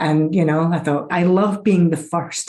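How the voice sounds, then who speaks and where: A woman's fairly low-pitched voice with a dark, mellow tone and a Scottish accent. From Scotland. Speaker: chief information security officer. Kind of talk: interview. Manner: animated.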